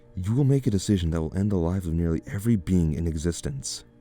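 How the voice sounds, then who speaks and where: Very fast speech with lively intonation over music in the background. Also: man. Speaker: story narrator. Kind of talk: horror story narration.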